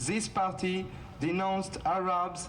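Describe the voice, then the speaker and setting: A speaker with a French accent. Noticeable background noise can be heard. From France. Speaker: activist, founder of anti-racism group. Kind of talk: rally speech. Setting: outdoor rally.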